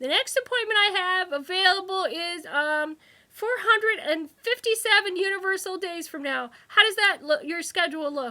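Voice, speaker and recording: Using a put-on character voice, a woman speaks at an extremely high pitch, raised and projected, at a moderate pace with hardly any pauses. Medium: read story. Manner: snippy, bureaucratic.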